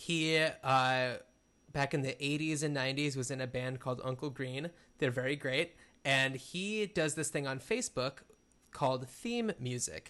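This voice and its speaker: Over a quiet background, a man with an ordinary speaking voice talks at a moderate pace and a fairly high pitch, with ordinary pitch variation. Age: 30s. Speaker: podcast co-host. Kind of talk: casual chat.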